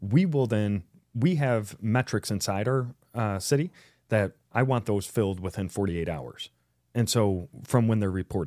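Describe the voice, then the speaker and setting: A man speaks in a fairly low, dark, mellow tone with lively intonation at a moderate pace. The recording is very clean with a silent background. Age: 30s. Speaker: city mayor. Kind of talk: casual interview.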